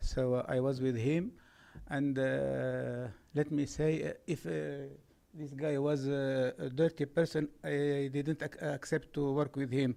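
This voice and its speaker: This man's voice sits at a fairly high pitch with a dark, mellow tone. He talks at a fairly slow pace with fairly even intonation. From Italy. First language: Italian. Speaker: local resident speaking at public comment. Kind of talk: public comment at city meeting. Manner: halting, many fillers.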